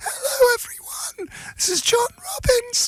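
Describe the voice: A man's put-on character voice, strained and croaky, extremely high-pitched, at a fairly slow pace.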